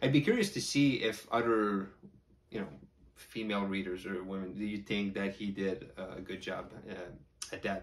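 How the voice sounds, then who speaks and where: At a moderate pace, a man with an unremarkable speaking voice talks at a fairly low pitch. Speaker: horror book reviewer. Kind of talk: casual talk to camera.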